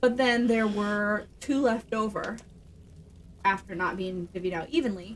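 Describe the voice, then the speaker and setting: A woman's fairly high pitch with ordinary variation, a fairly slow pace, and light background noise. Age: 30s. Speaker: streamer's wife. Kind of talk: casual chat. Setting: home studio. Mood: storytelling, mildly exasperated. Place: home room.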